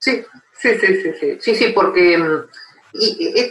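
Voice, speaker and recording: A man's extremely high voice with very wide pitch swings. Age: 60s. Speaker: philosophy professor. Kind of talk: interview. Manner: halting, many fillers.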